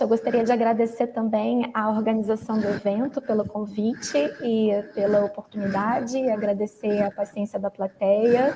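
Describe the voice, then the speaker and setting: Noticeable background noise sits behind a woman with a fairly high pitch. She talks at a fairly quick pace with hardly any pauses, in a monotone, flat intonation. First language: Portuguese. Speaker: professor. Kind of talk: moderating a conference Q&A. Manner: hesitant, many fillers.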